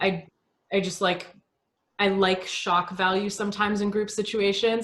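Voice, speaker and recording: The woman's voice sits at a medium pitch, and her intonation is monotone and flat. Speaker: fitness coach. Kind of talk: casual chat. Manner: loud.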